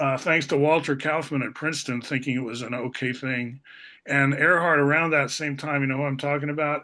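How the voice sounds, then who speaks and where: With an American accent, a man speaks at a fairly quick pace and a fairly high pitch. His tone is bright and sharp, his intonation flat and monotone. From Portland, Oregon, with years in Italy and the Philippines. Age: 60s. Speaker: former math teacher and philosopher. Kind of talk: casual conversation.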